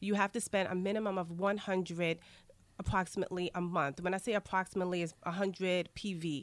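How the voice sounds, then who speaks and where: At a very fast pace, a woman with a New York accent speaks at a medium pitch in a monotone, flat intonation. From Queens, New York. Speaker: aromatherapy wellness coach. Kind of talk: radio interview.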